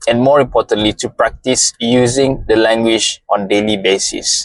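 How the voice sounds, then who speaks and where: Captured dry and close without echo, a man talks at a fairly slow pace and medium pitch with ordinary pitch variation. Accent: Malaysian. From Malaysia. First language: Malay. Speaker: motivational content creator. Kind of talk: motivational monologue.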